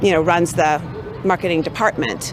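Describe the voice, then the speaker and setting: A woman with an American accent at a fairly quick pace, amid noticeable background noise. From USA. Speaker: marketing manager. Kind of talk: interview answers. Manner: hesitant, filler words.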